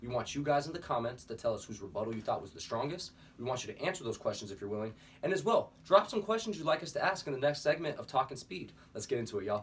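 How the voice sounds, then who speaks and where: Talking at a very fast pace, a man with a fairly high pitch makes very wide pitch swings and big swings in loudness. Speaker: sports podcast host. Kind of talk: casual sports talk show.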